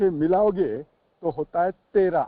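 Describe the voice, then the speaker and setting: A man speaks with a South Indian accent in a high pitch. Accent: South Indian accent in Hindi. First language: a South Indian language (speaking Hindi). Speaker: recovering alcoholic, firefighter. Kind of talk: support group sharing. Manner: halting, many fillers; Hindi mixed with English.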